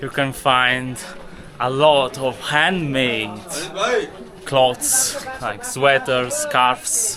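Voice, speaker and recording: A man speaks with a fairly high pitch and ordinary pitch variation. Noticeable background noise sits behind him. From Italy. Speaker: travel and spirituality vlogger. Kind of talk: travel vlog narration. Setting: outdoors in a Himalayan village.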